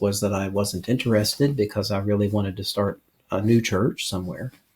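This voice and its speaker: Somewhat breathy and fairly low in pitch, a man with an American accent speaks at a fairly quick pace with fairly even intonation. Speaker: pastor and missionary. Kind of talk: interview conversation.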